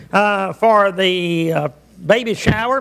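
Over a quiet background, a man talks in a bright, sharp tone. His pitch varies in an ordinary way. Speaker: pastor. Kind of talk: prayer then church announcements. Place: church. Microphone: podium.

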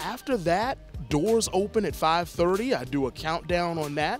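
Faint music plays behind a man who speaks in a relaxed tone at a fairly slow pace, with ordinary pitch variation and a dry sound with no echo. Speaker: arena public address announcer. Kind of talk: interview answer. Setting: arena. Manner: relaxed, conversational. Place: stadium. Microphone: handheld.

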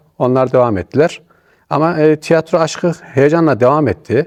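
An unremarkable speaking voice from a man, fairly high in pitch, with lively intonation at a moderate pace, in a dry, close sound with no echo. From Niğde, central Anatolia, Turkey. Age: 50s. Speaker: retired amateur theatre actor. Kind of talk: interview.

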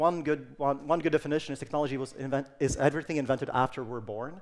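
This man talks at a very fast pace. His pitch is fairly high, with ordinary variation. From Sweden, Stockholm; Sweden. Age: 30s. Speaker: technology futurist speaker; speaker. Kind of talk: conference talk. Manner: some hesitations and fillers. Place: stage. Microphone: headset.

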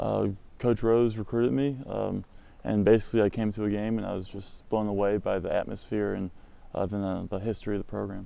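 Speaking fairly quickly with an American accent, a man has a fairly low pitch, a dark, mellow tone and fairly even intonation, in a dry sound with no echo. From US Midwest, St. Louis suburbs, Missouri; Missouri. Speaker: college basketball player. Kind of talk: interview. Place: stadium.

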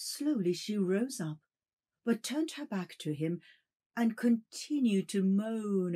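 Reading aloud in a natural voice, lively in intonation, against a quiet background

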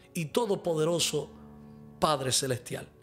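A man speaks with lively intonation. Faint music plays in the background. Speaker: pastor and prophet; preacher on live stream. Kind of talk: live-streamed sermon with prayer and viewer questions. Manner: fervent. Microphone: studio mic.

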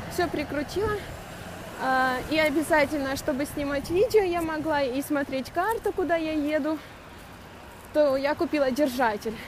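A woman speaks at a high pitch and a moderate pace, with ordinary pitch variation. The sound is dry with no echo, though background noise is noticeable. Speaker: cyclist vlogger. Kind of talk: casual vlog chat. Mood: cheerful, chatty. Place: bicycle. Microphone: phone near.

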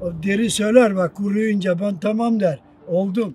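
A man talks at a high pitch and moderate pace with fairly even intonation. The sound is dry with no echo, and faint music plays in the background. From Turkey. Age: 80s+. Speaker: parchment maker. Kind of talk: interview. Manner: halting. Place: garden.

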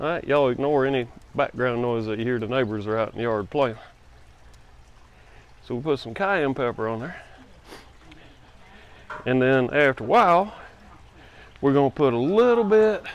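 The sound is dry, with no echo, as a man speaks at a moderate pace. He leaves long, frequent pauses. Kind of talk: tutorial. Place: garden. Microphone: phone near.

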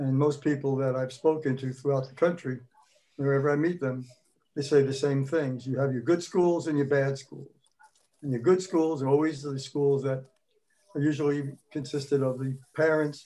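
Light background noise sits behind a man's dark, mellow voice at a moderate pace. His pitch is fairly high, his intonation fairly even. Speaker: retired school principal; guest. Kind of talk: casual chat. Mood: earnest, concerned. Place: home room. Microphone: video call.

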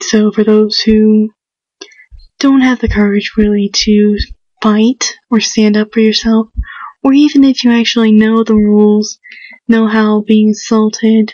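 Somewhat breathy whispering at a fairly slow pace, with long, frequent pauses, a dry sound with no echo and a quiet background. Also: woman. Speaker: home video maker. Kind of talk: casual talk to camera awareness video. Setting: indoors at home, quiet. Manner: whispered, hushed. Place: home room.

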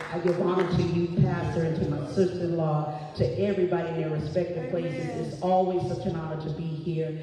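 Fairly quick, fairly even speech with strong room echo and noticeable background noise. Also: woman. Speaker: church member making announcements. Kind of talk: church announcements. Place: church. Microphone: camera far.

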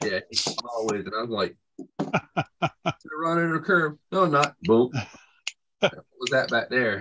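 A man with a fairly high pitch speaks at a very slow pace, leaving long, frequent pauses. His intonation is lively, and background noise is noticeable. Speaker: open mic participant; RC hobby show host. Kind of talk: casual chat. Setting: video call. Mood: laughing, joking. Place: home room. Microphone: video call.

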